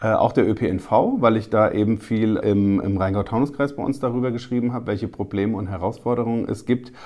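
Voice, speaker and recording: The tone is dark and mellow. Speech moves at a fairly quick pace with ordinary pitch variation. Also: man. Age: 40s. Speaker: newspaper reporter. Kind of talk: casual interview.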